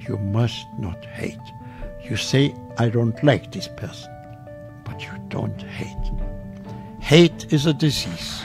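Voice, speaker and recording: Over clear music in the background, a man at a medium pitch speaks very slowly with lively intonation and long, frequent pauses. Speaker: Holocaust survivor. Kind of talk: interview answer. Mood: earnest, advising. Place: studio. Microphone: studio mic.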